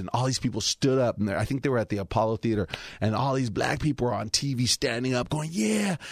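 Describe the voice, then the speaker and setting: An ordinary speaking voice from a man with an American accent, medium pitch and lively intonation, dry and close with no echo on a very clean recording with a silent background. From Los Angeles (Highland Park, Alhambra). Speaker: comedian. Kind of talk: casual chat.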